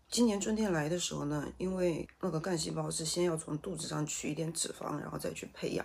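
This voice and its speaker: Vocal fry at a fairly quick pace, hardly any pauses and fairly even intonation. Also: woman, very deep, low pitch for a woman. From Sichuan, China. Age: 40s. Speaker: vlogger and shop owner. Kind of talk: casual chat. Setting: home study.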